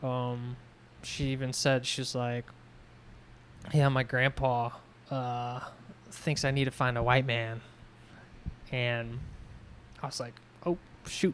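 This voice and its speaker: Delivered at a very slow pace, the speech has long, frequent pauses. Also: man, medium pitch for a man. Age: 20s. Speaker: podcast co-host. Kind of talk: casual chat. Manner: animated storytelling.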